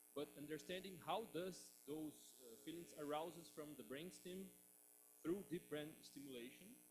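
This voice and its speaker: His delivery is fairly slow. The man talks with a non-native accent. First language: Portuguese. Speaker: audience member asking a question. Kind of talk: reading a question aloud. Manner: halting.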